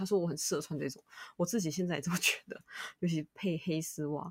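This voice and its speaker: Rather quickly paced, the clip carries an unremarkable speaking voice. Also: woman. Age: 30s. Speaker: podcast host. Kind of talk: casual chat.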